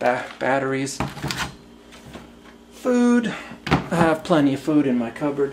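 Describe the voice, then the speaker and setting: Noticeable background noise surrounds a man whose fairly high voice is broken up by long, frequent pauses. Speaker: airport screener. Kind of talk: casual talk to camera. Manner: loud, slow.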